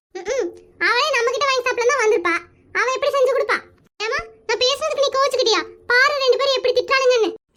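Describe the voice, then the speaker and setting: A woman's put-on character voice at an extremely high pitch and a fairly quick pace. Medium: comedy sketch. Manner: whiny, teasing.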